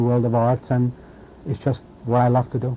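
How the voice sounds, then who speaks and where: A dark, mellow tone with a Hungarian accent at a moderate pace. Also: man. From Hungary. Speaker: sports writer. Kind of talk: interview.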